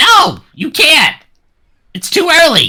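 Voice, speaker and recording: Squeaky and extremely high for a man, his put-on character voice carries the whole clip. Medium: actual play. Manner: blunt, bossy.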